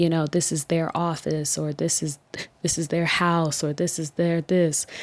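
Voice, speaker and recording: A woman speaks softly. Her intonation is flat and monotone. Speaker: mental health podcaster sharing lived experience. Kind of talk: personal testimony monologue. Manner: soft-spoken.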